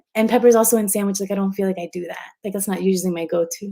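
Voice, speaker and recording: A woman talks at a medium pitch. Her intonation stays flat and monotone. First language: Spanish. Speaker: photographer and book publisher. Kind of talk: interview conversation. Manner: casual, filler-heavy.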